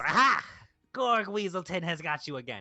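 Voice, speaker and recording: A man's raised, projected, put-on character voice, high-pitched and cackling, at a moderate pace. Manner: gleeful, gloating.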